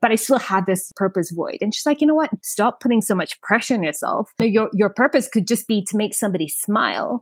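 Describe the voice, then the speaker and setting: A somewhat breathy woman's voice, fairly high-pitched, at a fairly quick pace with hardly any pauses, in a dry, close sound with no echo. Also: lively intonation. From Kenya, Nairobi. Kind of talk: casual interview. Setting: remote call.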